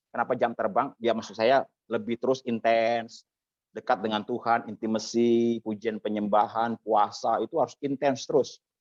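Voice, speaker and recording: A man with a strong Javanese accent, medium in pitch, at a moderate pace with fairly even intonation, in a dry, close sound with no echo. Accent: thick Javanese. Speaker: preacher teaching homiletics. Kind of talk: lecture. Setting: church service with small audience.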